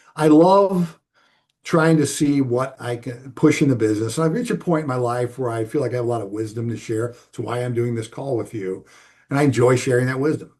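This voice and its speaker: A man at a medium pitch, somewhat breathy, at a fairly quick pace with ordinary pitch variation, over a quiet background. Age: 60s. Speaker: business owner. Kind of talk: interview. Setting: call. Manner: conversational, emphatic.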